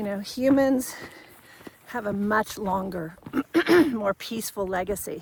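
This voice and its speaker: A woman speaks with lively intonation. Noticeable background noise runs under her voice. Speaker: leadership coach. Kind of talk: unscripted monologue. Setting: outdoors, hiking.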